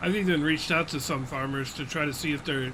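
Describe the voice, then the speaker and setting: Fairly quick, fairly high-pitched male speech amid audible room echo and noticeable background noise. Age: 40s. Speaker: gaming streamer. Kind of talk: live gameplay stream chat. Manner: casual, conversational.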